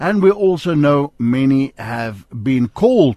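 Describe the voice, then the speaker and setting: A man with an Afrikaans South African accent speaks very slowly at a medium pitch, his voice swinging very widely up and down in a dry, close recording with no echo. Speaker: radio host. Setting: studio. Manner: warm, upbeat.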